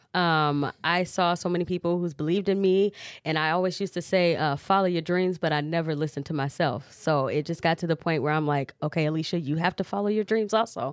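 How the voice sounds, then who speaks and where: A woman with a fairly low pitch speaks very fast at very even loudness, the sound dry and close with no echo on a very clean recording with a silent background. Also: ordinary pitch variation, hardly any pauses. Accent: Midwestern US. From Cedar Rapids, Iowa (born Chicago, moved at five). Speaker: R&B singer. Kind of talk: casual interview.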